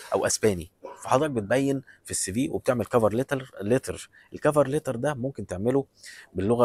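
A man with an Egyptian accent talks with ordinary pitch variation, and the sound is dry with no echo. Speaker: vlogger giving job advice. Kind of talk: advice monologue. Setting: airport. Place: station. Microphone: phone near.

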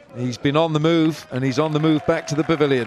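Noticeable background noise accompanies a man whose pitch is fairly high. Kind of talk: live sports commentary.

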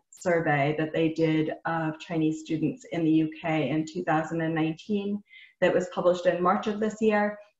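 A woman speaks fairly slowly at a fairly low pitch with fairly even intonation. There's audible room echo over a quiet background. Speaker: webinar host. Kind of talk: webinar presentation. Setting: video call. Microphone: webcam.

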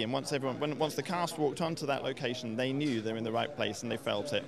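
Very fast speech with ordinary pitch variation is captured dry with no echo, over noticeable background noise. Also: man. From England. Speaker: film producer. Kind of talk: interview. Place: hall. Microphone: handheld.

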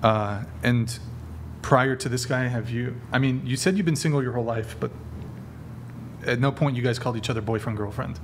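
A man at a fairly quick pace, with ordinary pitch variation and light background noise. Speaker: show host. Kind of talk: interview questioning. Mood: amused, probing. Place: studio. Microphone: studio mic.

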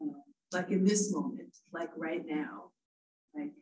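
The speaker goes at a fairly slow pace, sounding somewhat breathy. The pitch swings very widely. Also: woman. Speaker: audience member asking a question; audience member. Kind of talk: audience question. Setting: live event with audience. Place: classroom. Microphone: podium.

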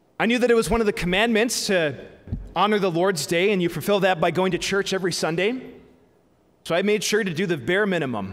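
Here a man talks at a very fast pace. His pitch is high, with ordinary variation. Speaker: priest. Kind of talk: sermon. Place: church. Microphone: podium.

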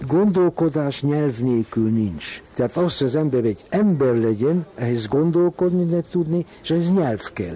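Over noticeable background noise, a man with a fairly high pitch talks at a fairly slow pace with hardly any pauses. His intonation is lively while his loudness stays very even. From Hungary, Pécs. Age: 80s+. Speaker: psychoanalyst and art collector. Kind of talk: radio interview.

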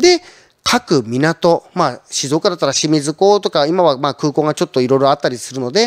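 Lively intonation at a fairly quick pace over a quiet background. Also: man. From Shizuoka, Japan. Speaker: trading company representative. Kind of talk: conference talk. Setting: online seminar. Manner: polite, filler-heavy. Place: studio. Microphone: handheld.

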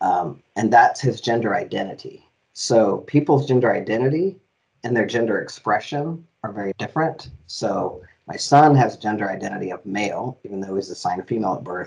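Against a quiet background, a man at medium pitch speaks with lively intonation. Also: fairly quick pace. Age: 50s. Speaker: diversity officer and gender inclusivity educator. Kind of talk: interview. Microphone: headset.

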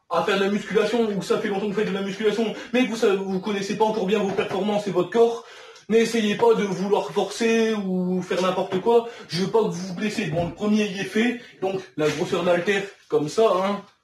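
A man's high-pitched voice at a fairly quick pace, with fairly even intonation, audible room echo and light background noise. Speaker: home fitness vlogger. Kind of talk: casual workout tutorial chat. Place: home room. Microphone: camera far.

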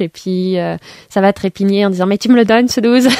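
Her dark, mellow tone comes through at a moderate pace with fairly even intonation, as a woman speaks in a dry sound with no echo over a quiet background. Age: 20s. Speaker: board game shop worker. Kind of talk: radio interview. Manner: hesitant, many fillers. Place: studio.

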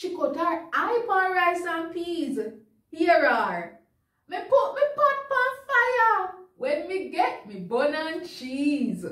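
A woman speaks very slowly at an extremely high pitch, her bright, sharp tone making very wide pitch swings. The background is quiet, though room echo is audible. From Jamaica. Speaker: news reader. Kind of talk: dialect poetry reading for children. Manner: comedic, performed. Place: studio.

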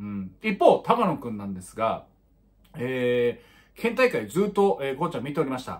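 Over a quiet background, a fairly high-pitched man speaks at a moderate pace with very wide pitch swings and big swings in loudness. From Miyagi, Japan (Tohoku). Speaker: high school baseball commentator; baseball commentator vlogger. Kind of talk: casual sports commentary monologue. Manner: many filler words (えー, まあ). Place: home room. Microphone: phone near.

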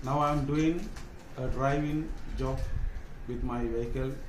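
Against light background noise and audible room echo, a man speaks at a fairly slow pace with fairly even intonation. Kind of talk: self-introduction for a job application. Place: home room. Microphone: phone near.

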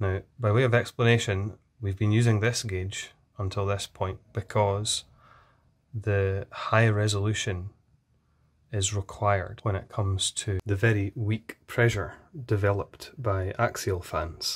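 In a quiet setting, a man speaks fairly slowly in a fairly low, somewhat breathy voice with monotone, flat intonation. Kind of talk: tutorial. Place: workshop.

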